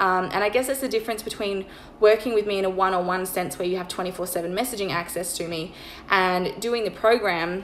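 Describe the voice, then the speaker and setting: A woman talks at a very fast pace at a medium pitch. Noticeable background noise runs beneath her. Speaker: online money mindset coach. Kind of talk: sales pitch. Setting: Instagram live stream.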